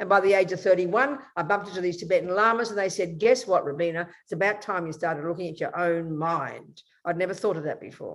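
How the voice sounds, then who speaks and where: A woman talks very fast with hardly any pauses, her medium-pitched, animated voice moving up and down in an ordinary way. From Australia. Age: 70s. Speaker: Buddhist nun. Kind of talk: interview conversation.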